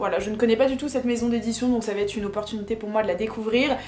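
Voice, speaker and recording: The voice keeps a fairly even intonation. Noticeable background noise and audible room echo are present. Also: woman. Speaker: book and haul YouTuber. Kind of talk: casual vlog haul. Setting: home video recording. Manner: hesitant with fillers.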